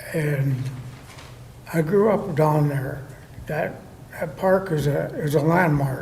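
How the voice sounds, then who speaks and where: Amid audible room echo and noticeable background noise, a man speaks very slowly in a fairly high pitch, with ordinary pitch variation and long, frequent pauses. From Vermillion, South Dakota. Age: 60s. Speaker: Army veteran resident at public comment. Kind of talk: public comment at council meeting. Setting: city council chamber.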